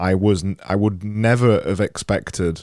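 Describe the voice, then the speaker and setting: With a Yorkshire accent, a man speaks in a fairly low, dark, mellow voice with ordinary pitch variation. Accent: Yorkshire, clipped. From Yorkshire, northern England. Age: 30s. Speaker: podcast host. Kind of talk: interview conversation. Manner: halting.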